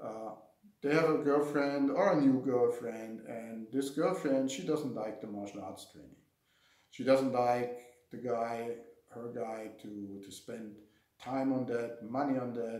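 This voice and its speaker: A man at a fairly slow pace, with ordinary pitch variation, big swings in loudness and audible room echo. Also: medium pitch for a man. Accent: German. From Germany. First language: German. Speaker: martial arts instructor. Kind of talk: casual talk to camera. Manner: halting, with fillers and repetitions.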